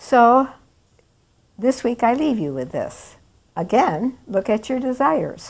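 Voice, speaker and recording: Speaking very slowly with long, frequent pauses, this woman has a high-pitched voice and lively intonation. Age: 80s+. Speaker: spiritual teacher. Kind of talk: spiritual talk.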